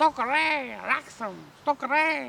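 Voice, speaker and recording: The put-on character voice is high-pitched. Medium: solo performance. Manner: croaking, gabbling.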